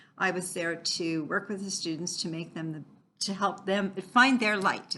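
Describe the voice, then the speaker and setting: A woman's bright, sharp voice at medium pitch, with ordinary pitch variation and a moderate pace. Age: 70s. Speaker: astrologer and self-help author. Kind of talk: casual monologue to camera. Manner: frequent filler 'okay'.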